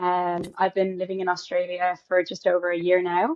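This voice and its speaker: A woman with an Irish accent and a medium pitch. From Ireland. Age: 20s. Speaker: actor and singer. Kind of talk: interview answers.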